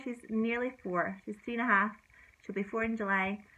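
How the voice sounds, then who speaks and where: This woman has a Scottish accent and a fairly high pitch. She talks at a very fast pace in a bright, sharp tone. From Scotland. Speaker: parenting vlogger. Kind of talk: casual vlog.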